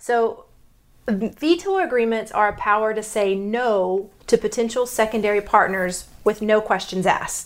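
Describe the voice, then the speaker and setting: A woman speaks with a Texas accent at a fairly slow pace. Her voice is fairly high. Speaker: podcast host discussing relationships. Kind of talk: casual explanatory chat. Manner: halting, with fillers and self-corrections.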